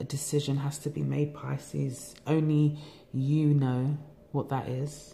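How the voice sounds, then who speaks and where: With a London accent, a woman speaks fairly slowly at a very deep, low pitch, her tone dark and mellow, somewhat breathy, and her intonation monotone and flat. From England. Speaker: tarot reader. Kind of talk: tarot reading monologue. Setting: home recording. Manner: relaxed. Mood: calm, reflective. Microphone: phone near.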